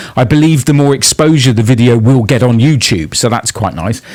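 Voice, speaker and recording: Lively intonation in a British accent at a moderate pace. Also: man. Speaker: music youtuber and radio presenter. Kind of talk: casual video monologue. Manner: halting.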